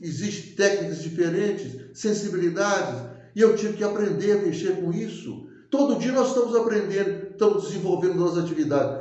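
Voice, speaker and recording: A man talks at a fairly quick pace in a high pitch with ordinary pitch variation. Audible room echo and noticeable background noise surround him. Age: 80s+. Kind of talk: public address. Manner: impassioned; halting, self-correcting.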